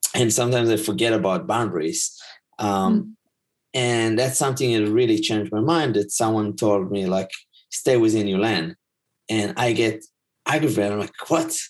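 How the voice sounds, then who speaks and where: Over a quiet background, a man of medium pitch speaks at a moderate pace with ordinary pitch variation. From Israel. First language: Hebrew. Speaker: life coach and teacher. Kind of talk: casual chat. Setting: video call.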